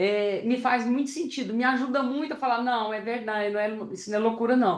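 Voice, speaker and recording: A fairly high-pitched woman's voice at a fairly quick pace. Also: ordinary pitch variation. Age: 60s. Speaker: psychotherapist. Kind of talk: discussion contribution after a lecture. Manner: halting, many repetitions.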